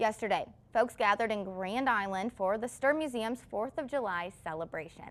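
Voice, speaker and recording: A woman's fairly high voice at a moderate pace with ordinary pitch variation, an unremarkable speaking voice. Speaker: television news anchor and reporter. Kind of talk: television news anchor and live reporter delivery. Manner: clear, professional news delivery.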